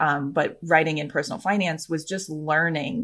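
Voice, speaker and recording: An ordinary speaking voice, a woman with an American accent speaks at a moderate pace in a fairly low pitch with ordinary pitch variation. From US Midwest. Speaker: podcast host. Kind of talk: casual chat.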